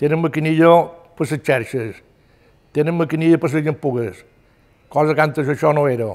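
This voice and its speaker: A man with a Mallorcan accent, fairly high-pitched, at a moderate pace with long, frequent pauses, ordinary pitch variation, and a quiet background. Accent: Mallorcan Catalan. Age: 80s+. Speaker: retired fisherman. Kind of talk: oral history testimony. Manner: halting. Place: home room.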